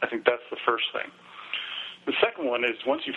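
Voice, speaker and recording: A man at medium pitch with an American accent, noticeable background noise behind him. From US, New York City. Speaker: health author and lab analyst. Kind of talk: interview.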